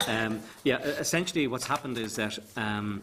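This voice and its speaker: A man's fairly low-pitched voice with a Northern Irish accent. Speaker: tourism agency official. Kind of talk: committee evidence session. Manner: fast.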